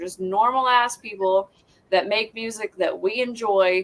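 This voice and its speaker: This woman speaks with a Southern Appalachian accent. Her intonation is fairly even. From US South, southwest Virginia. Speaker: metal band musician. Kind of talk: casual chat.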